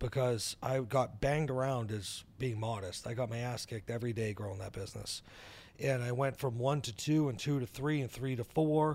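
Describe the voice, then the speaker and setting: On a very clean recording with a silent background, a man with an American accent speaks at a moderate pace in an unremarkable speaking voice, medium in pitch with ordinary pitch variation. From New Hampshire, US. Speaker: entrepreneur. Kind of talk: interview.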